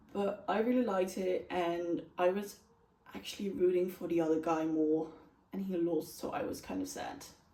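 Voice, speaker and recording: A woman's fairly low voice at a moderate pace, with ordinary pitch variation, audible room echo and noticeable background noise. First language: not English. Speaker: book reviewer. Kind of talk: casual chat.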